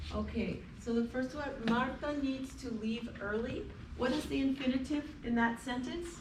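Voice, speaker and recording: Noticeable background noise sits behind a woman with an American accent who speaks at a moderate pace and high pitch with fairly even intonation. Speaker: English teacher. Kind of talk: classroom lecture. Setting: classroom.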